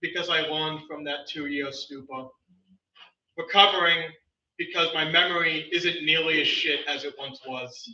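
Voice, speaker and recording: A man with a fairly high pitch talks at a moderate pace, his intonation fairly even, with long, frequent pauses. His loudness swings widely, and there is audible room echo. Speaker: open mic poet. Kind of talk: poetry reading. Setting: stage with audience.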